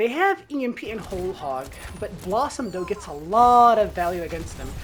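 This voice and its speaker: A woman speaks in an animated tone, her pitch swinging very widely and her loudness shifting a lot. There is noticeable background noise. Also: medium pitch for a woman. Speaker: gaming content creator. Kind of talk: gameplay commentary tutorial. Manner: fast.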